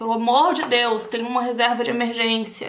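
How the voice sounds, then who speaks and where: With a Brazilian accent, a woman speaks at a high pitch. Her pace is moderate. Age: 30s. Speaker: beauty vlogger, aesthetician. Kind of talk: casual talk to camera while doing makeup.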